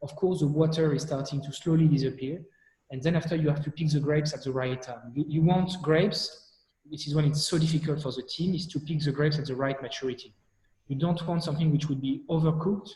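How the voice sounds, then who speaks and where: Speaking very fast in a French accent, a man has a fairly high, somewhat breathy voice with a dark, mellow tone and fairly even intonation. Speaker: wine company director. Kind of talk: expert explanation in live chat. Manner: halting, many repetitions.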